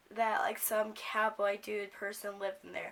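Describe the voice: A woman speaks at a medium pitch with a fairly bright tone and vocal fry. Her pace is fairly slow, and her pitch moves little.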